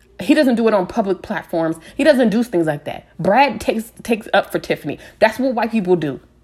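A woman speaks at a fairly high pitch. Her voice is somewhat breathy. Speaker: podcast host. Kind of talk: casual rant. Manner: unscripted, hesitant.

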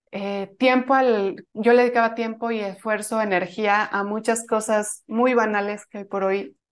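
Over a quiet background, a woman with a Mexican accent talks at a moderate pace. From Mexico. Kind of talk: interview.

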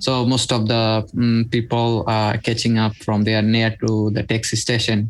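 Over a very clean recording with a silent background, a man at medium pitch keeps a monotone, flat intonation, very even loudness and a moderate pace. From Bangladesh. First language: Bengali. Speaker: migrant worker. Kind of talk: interview. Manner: halting.

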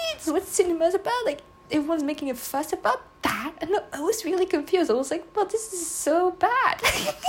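A woman's extremely high voice with a non-native accent, fairly quick and lively in intonation, over noticeable background noise. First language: not English. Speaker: solo podcaster. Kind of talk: casual monologue. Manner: halting, with fillers and laughs.

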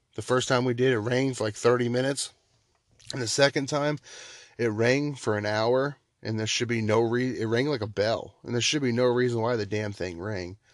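Against a quiet background, a man with an American accent talks at a moderate pace, his medium pitch and fairly even intonation holding throughout. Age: 30s. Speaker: podcast host. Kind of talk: solo monologue podcast. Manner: halting, many fillers.

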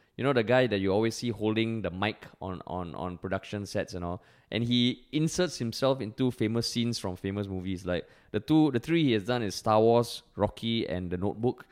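Someone speaks at a fairly quick pace with ordinary pitch variation in a very clean recording, silent background. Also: man, fairly low pitch for a man. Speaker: podcast co-host. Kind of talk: casual chat. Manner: animated.

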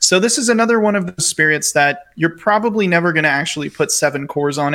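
A bright, sharp tone comes through with ordinary pitch variation. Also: man. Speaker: podcast co-host. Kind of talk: casual chat. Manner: quiet voice for a segment.

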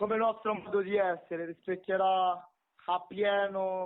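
A man's high-pitched voice with a Roman accent, at a very slow pace. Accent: Roman Italian. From Romania then Rome (from age ten). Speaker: rapper. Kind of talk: casual interview.

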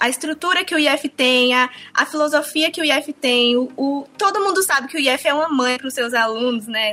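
A woman speaks in a raised, projected voice at high pitch. She leaves hardly any pauses. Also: ordinary pitch variation, moderate pace. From Ceará interior (Sobral region), Brazil. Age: 20s. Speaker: former student. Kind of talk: interview testimony.

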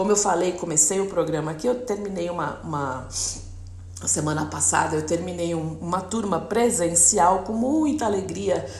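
Amid noticeable background noise and audible room echo, a woman talks in an animated tone at a moderate pace, her fairly low voice showing ordinary pitch variation. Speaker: radio host, enneagram coach. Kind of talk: radio talk monologue.

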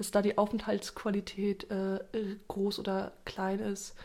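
A woman speaks with a fairly high pitch. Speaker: podcast host. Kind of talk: casual chat. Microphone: new microphone setup.

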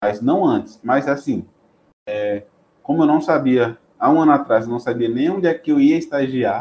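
A man's normal speaking voice, fairly high in pitch, at a moderate pace with ordinary pitch variation. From Bahia interior, Brazil (Chapada Diamantina). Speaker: biotechnology student and research intern. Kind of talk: casual interview chat.

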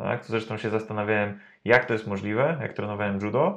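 A man's normal speaking voice, fairly low in pitch, at a fairly quick pace, over a quiet background. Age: 30s. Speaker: personal trainer. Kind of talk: interview. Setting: studio.

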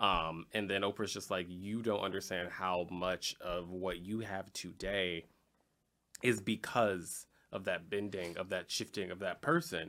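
In a very clean recording with a silent background, a man speaks with a very deep, low pitch, a bright, sharp tone and fairly even intonation. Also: fairly slow pace. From Chicago, Illinois. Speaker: podcast host. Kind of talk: casual panel discussion.

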